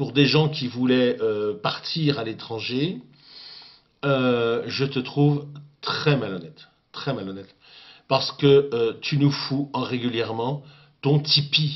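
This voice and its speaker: A man at a medium pitch talks with ordinary pitch variation, moving very slowly and leaving long, frequent pauses. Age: 60s. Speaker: political commentator. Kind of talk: video rant addressing a critic. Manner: halting, many hesitations.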